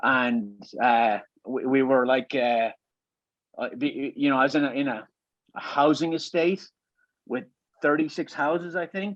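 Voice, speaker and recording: This man's voice sits fairly high and moves at a fairly slow pace. His pitch varies in an ordinary way, with long, frequent pauses. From Ireland, Dundalk, County Louth. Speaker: army veteran. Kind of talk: interview. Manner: halting, frequent repetitions.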